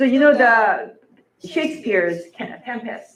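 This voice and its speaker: Amid audible room echo, a woman with a Korean accent and a fairly high pitch speaks at a fairly slow pace with lively intonation. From South Korea, Seoul. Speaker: film studies professor. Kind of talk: public lecture.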